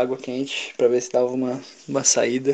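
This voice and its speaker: A man's medium-pitched voice moves along at a fairly quick pace. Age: 20s. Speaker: podcast co-host. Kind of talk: casual chat. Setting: at home alone.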